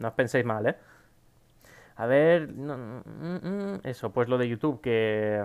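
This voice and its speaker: The man's speech moves along very slowly. The rise and fall of his voice is lively. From Spain. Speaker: gaming YouTuber. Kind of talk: casual Q&A to camera. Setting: home recording at PC. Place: home room.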